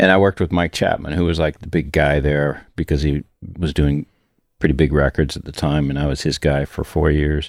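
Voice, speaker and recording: A man with an American accent and vocal fry talks fairly quickly at a very deep, low pitch with monotone, flat intonation, in a dry, close sound with no echo. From Peoria, Illinois, US Midwest. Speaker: podcast co-host, recording engineer. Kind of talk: casual chat. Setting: recording studio.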